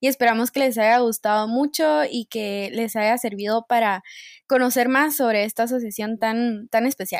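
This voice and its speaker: A plain, everyday voice moves at a moderate pace with ordinary pitch variation, recorded very cleanly against a silent background with a dry, close sound and no echo. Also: woman, fairly high pitch for a woman. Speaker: student podcast host. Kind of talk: casual interview.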